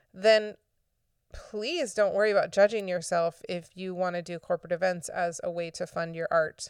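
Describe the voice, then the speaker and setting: A woman speaks at a moderate pace in a medium pitch. The recording is very clean, with a silent background and a dry, close sound with no echo. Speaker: podcast host and circus performer. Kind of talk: solo podcast monologue. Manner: animated.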